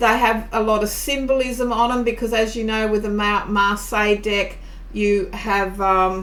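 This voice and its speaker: With an Australian accent, a woman talks at a moderate pace with fairly even intonation, amid noticeable background noise and audible room echo. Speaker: tarot reader and teacher. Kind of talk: tutorial. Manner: casual, conversational.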